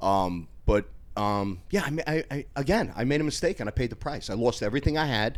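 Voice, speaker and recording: A man with a New York accent and lively intonation. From New York, Westchester/Bronx. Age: 60s. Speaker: former bouncer and personal trainer. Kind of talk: casual chat. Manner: animated.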